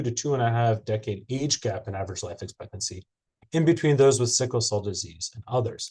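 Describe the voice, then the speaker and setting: Against a quiet background, a man speaks with lively intonation and a somewhat breathy voice. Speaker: cardiologist. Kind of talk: lecture. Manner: fast.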